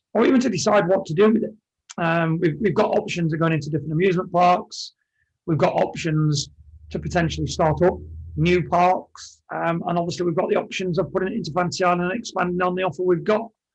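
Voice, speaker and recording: A man's high voice with an English accent, at a very fast pace, with ordinary pitch variation. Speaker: amusement ride operator. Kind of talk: podcast interview.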